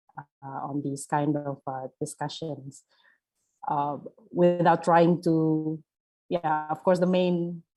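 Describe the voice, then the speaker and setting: The speaker's dark, mellow tone moves at a very slow pace with fairly even intonation and long, frequent pauses. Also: woman, very deep, low pitch for a woman. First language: not English. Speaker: panel speaker. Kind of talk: panel discussion. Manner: halting, many fillers and repetitions.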